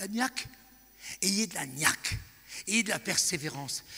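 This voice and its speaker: A man's bright, sharp voice with lively intonation. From France. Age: 60s. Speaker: evangelist preacher. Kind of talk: sermon. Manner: animated.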